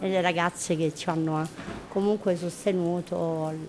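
Noticeable background noise sits under a woman's voice. Her pitch is fairly low, with ordinary variation. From southern Italy, Taranto (Puglia). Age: 50s. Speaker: prison inmate on day release. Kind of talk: personal testimony. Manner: halting.

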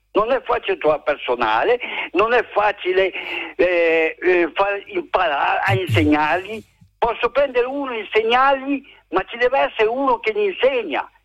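A high-pitched man with very wide pitch swings and long, frequent pauses. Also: moderate pace. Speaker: business owner. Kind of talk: phone-in call. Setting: phone call.

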